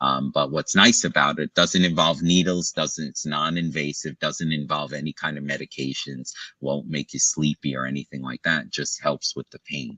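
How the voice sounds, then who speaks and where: A man speaks with a very deep, low pitch and vocal fry, his tone bright and sharp. The pace is moderate, and the sound is dry and close with no echo. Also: hardly any pauses. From Brooklyn, New York. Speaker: pain medicine doctor. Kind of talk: interview. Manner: halting.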